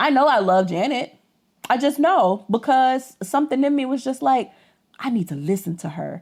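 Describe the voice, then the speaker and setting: Loud and animated, a woman speaks at a high pitch with very wide pitch swings. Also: moderate pace. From US South (Georgia). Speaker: podcast co-host. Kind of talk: casual chat.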